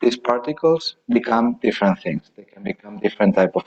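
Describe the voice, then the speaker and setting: At a moderate pace, a man talks with a Spanish accent, and the sound is dry and close with no echo. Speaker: architect. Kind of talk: lecture Q&A answer. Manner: halting.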